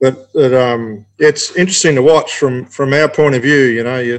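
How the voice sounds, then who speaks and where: Keeping a fairly even intonation, a man talks at a fairly quick pace and a medium pitch. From Australia. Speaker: racing driver. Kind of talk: casual chat. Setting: remote call.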